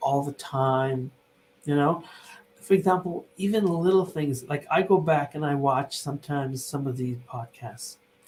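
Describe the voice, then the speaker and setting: At a moderate pace, the voice comes across somewhat breathy, with ordinary pitch variation. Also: man, fairly high pitch for a man. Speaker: company CEO and podcast host. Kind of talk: casual chat.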